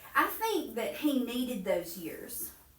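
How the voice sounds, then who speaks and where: Someone with an American accent speaks at a fairly slow pace, with audible room echo. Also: woman. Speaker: Bible study teacher. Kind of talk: Bible study lesson.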